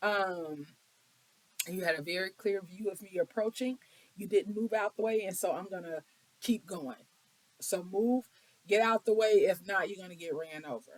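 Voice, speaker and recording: At a moderate pace, a woman talks with long, frequent pauses and big swings in loudness. Her medium pitch has ordinary variation. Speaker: tarot card reader. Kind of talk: tarot reading.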